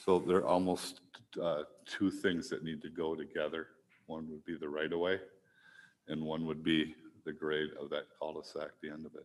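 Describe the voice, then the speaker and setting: The soft-spoken voice moves at a moderate pace, with long, frequent pauses and big swings in loudness. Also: man. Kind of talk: public meeting presentation. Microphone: mic on but too quiet at first.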